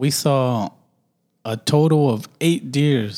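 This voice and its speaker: Pitched at a medium level, the man speaks with ordinary pitch variation. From US, urban neighborhood. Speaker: podcast host. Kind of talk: casual chat. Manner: stutters and pauses a lot.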